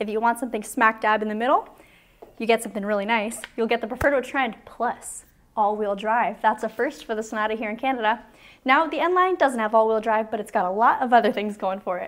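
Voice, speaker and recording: Speaking at a very fast pace, a woman uses ordinary pitch variation. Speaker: presenter. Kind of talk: product review walkaround. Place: shop. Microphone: lapel.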